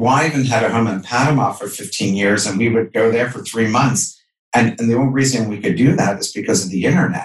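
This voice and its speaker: Speaking at a fairly quick pace, a man uses a medium pitch with ordinary pitch variation and a somewhat breathy sound. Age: 50s. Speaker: entrepreneur and author. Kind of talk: interview.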